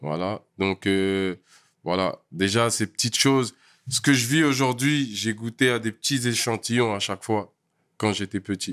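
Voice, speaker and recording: A man at a medium pitch uses an ordinary speaking voice with ordinary pitch variation, speaking at a fairly slow pace with a dry, close sound and no echo. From Paris region, France (Val d'Oise, Essonne). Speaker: rapper and producer. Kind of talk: casual chat.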